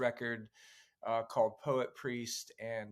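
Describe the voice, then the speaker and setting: A man talks fairly slowly in a very clean recording with a silent background. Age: 40s. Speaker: writer and musician. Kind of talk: podcast interview. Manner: halting, many fillers.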